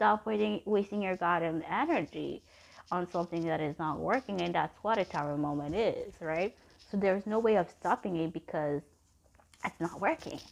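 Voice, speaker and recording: With a non-native accent, a woman speaks at a moderate pace and a fairly low pitch. Her pitch varies in an ordinary way, and the background is quiet. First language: not English. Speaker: tarot reader. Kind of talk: tarot reading monologue. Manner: halting.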